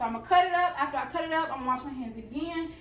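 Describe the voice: The pitch moves in an ordinary way. Noticeable background noise runs under the speech. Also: woman. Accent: American.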